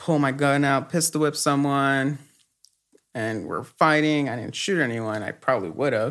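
An ordinary speaking voice with an American accent, at a moderate pace and with ordinary pitch variation. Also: man, fairly high pitch for a man. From Los Angeles, Echo Park. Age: 30s. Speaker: guest sharing faith testimony. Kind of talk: testimony.

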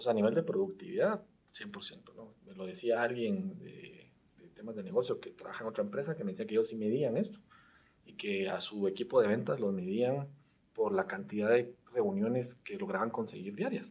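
Moving at a moderate pace, a man with a medium pitch makes very wide pitch swings and big swings in loudness. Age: 30s. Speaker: tech startup founder and CEO. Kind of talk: casual interview chat.

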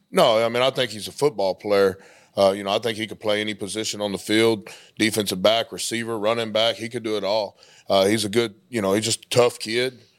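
On a very clean recording with a silent background, a man speaks fairly quickly in a fairly low, monotone, flat voice. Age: 30s. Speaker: high school football coach. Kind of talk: interview. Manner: halting.

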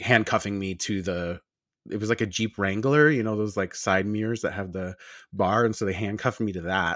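On a very clean recording with a silent background, a man with an American accent speaks with ordinary pitch variation. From Long Island, New York. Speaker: esthetician and skincare business owner. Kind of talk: casual interview chat.

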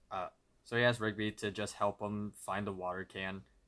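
A man with a fairly low pitch speaks at a moderate pace in a monotone, flat delivery. His tone is bright and sharp, on a very clean recording with a silent background. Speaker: podcast co-host. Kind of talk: casual chat.

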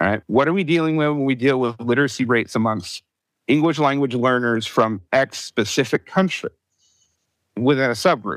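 A man speaks in a plain, everyday voice at medium pitch with ordinary pitch variation and a fairly quick pace. The very clean recording has a silent background and a dry, close sound with no echo. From US Southeast. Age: 40s. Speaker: public school teacher. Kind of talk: casual chat.

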